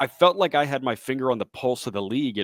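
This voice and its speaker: A man with a plain, everyday voice, medium in pitch, at a moderate pace with lively intonation, in a very clean, dry and close recording with a silent background and no echo. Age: 20s. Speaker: baseball radio play-by-play announcer. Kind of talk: podcast interview answer. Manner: conversational, fluent.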